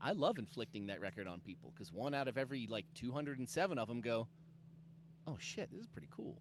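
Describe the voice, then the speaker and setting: A loud man at a very fast pace, with very wide pitch swings. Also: medium pitch for a man. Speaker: comic book creator. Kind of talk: casual interview chat. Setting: video call.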